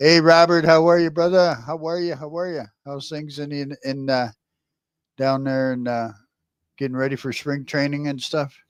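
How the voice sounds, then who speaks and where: A man with an American accent and a normal speaking voice talks at a moderate pace with a fairly high pitch and fairly even intonation. His loudness swings widely, and the recording is very clean with a silent background. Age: 60s. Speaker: live streamer. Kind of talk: casual chat. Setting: live stream.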